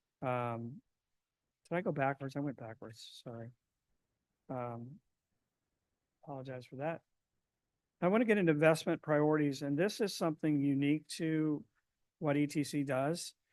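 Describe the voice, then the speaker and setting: A man speaks in a fairly high pitch with ordinary pitch variation. His loudness swings widely against a quiet background. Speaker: survey consultant presenting to city council. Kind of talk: presentation to council. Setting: city council meeting. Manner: fast.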